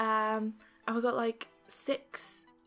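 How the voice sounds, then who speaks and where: A woman with a fairly high-pitched voice speaks while music plays behind her. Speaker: beauty vlogger. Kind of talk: casual talk to camera.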